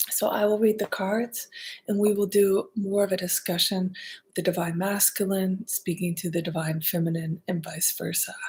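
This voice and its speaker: A soft-spoken woman's somewhat breathy, medium-pitched voice with a calm tone, monotone, flat intonation and a moderate pace. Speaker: artist and card reader. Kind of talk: ASMR-style spiritual card reading. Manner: calm, soft-spoken.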